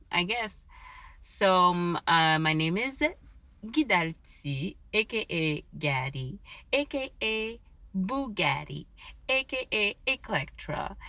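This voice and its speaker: A woman's medium-pitched, bright, sharp voice in a French accent, very slow and with very wide pitch swings. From Quebec, Canada. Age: 30s. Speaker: Uber Eats driver, new podcaster. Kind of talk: casual solo talk recorded on phone. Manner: halting, searching for words.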